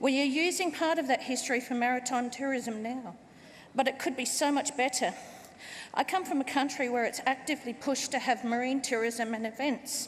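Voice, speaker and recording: A woman's high voice in an Australian accent with fairly even intonation at a fairly quick pace. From Australia, Port Adelaide. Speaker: party member, first-time speaker. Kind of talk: conference speech. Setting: stage with audience.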